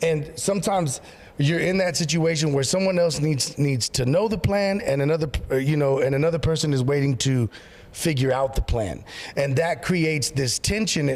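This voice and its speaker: The man speaks at a moderate pace in an animated tone. His pitch varies in an ordinary way. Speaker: pastor. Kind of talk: casual chat. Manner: loud.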